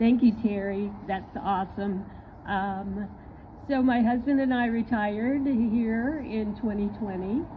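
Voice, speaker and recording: Fairly high, somewhat breathy female voice at a fairly slow pace, with fairly even intonation and audible room echo. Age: 60s. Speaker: mural artist. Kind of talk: public speech.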